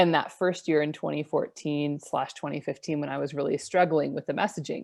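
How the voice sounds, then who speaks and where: A woman's very deep, low voice with vocal fry and fairly even intonation, at a fairly quick pace over a quiet background. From Idaho, US. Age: 30s. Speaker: online business coach. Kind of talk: interview. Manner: calm.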